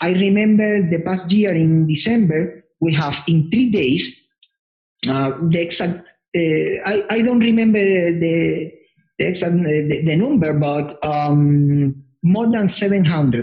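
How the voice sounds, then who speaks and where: A high-pitched man with a Spanish accent talks at a very slow pace, his loudness very even and his pitch variation ordinary. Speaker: anime convention organizer. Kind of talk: interview. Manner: halting.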